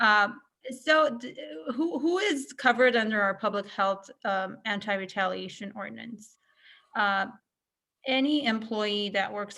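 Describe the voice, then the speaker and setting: A woman's bright, sharp voice at a medium pitch, with big swings in loudness. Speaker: county wage enforcement official. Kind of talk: webinar presentation. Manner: fast; soft-spoken. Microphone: far from the mic.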